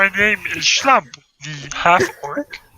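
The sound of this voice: The speaker is a man doing a put-on character voice. The voice sits high in pitch.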